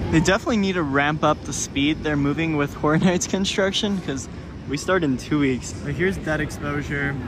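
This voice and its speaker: A man talks at a fairly quick pace and fairly high pitch with ordinary pitch variation. Noticeable background noise sits behind him. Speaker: theme park vlogger. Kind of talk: walking vlog narration. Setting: outdoors at theme park. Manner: excited bursts.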